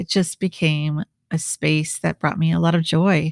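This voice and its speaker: In an American accent, a woman with an unremarkable speaking voice talks at a moderate pace with fairly low pitch and fairly even intonation, the sound dry and close with no echo and the recording very clean over a silent background. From Minnesota, US Midwest. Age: 50s. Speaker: podcast host and leadership coach. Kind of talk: solo podcast monologue.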